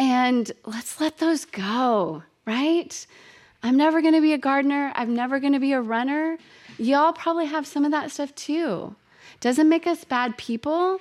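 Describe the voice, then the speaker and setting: In a very clean recording with a silent background, a woman speaks in an animated tone at a high pitch and moderate pace, with ordinary pitch variation. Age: 50s. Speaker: podcast host. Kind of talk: casual solo monologue. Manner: animated, frequent laughter.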